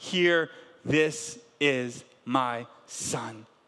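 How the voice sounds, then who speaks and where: An animated man with an American accent over noticeable background noise. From US South, Canton, Georgia. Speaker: pastor. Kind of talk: sermon.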